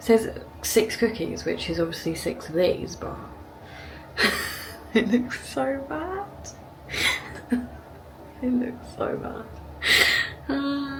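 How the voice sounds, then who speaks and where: A woman speaks at a very slow pace, with long, frequent pauses. There is noticeable background noise. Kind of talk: casual talk to camera.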